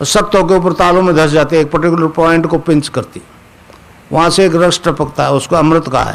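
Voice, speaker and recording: Over noticeable background noise, a man with a high pitch talks at a moderate pace, his intonation fairly even. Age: 80s. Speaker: spiritual guru. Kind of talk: spiritual discourse. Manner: conversational, checking listeners with 'samjhe?'.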